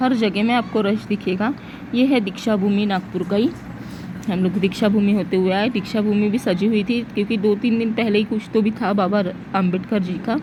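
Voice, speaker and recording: Over noticeable background noise, a woman speaks at a medium pitch and moderate pace with ordinary pitch variation. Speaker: vlogger. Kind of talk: casual vlog narration.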